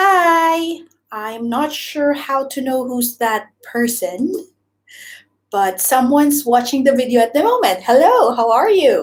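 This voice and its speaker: With a Visayan Filipino accent, a woman talks at a fairly slow pace, her high voice rising and falling in lively intonation. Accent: Filipino (Cebuano) English. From Philippines, Cebu. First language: Cebuano (Bisaya). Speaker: YouTuber, former teacher. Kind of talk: live stream chat. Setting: live stream. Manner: hesitant, filler-heavy.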